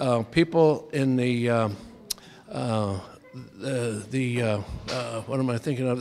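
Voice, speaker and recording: Music plays in the background as a man speaks. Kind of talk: interview answer. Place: hall. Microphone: handheld.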